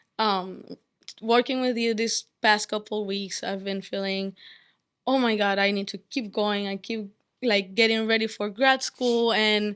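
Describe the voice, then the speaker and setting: In a non-native accent, a woman with a fairly high pitch speaks in a monotone, flat intonation on a very clean recording with a silent background. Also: fairly slow pace. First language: not English. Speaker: undergraduate student. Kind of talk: testimony. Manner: halting.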